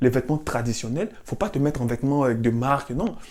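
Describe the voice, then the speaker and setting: An animated tone in a very clean recording with a silent background. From Africa. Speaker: cultural commentator. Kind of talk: monologue.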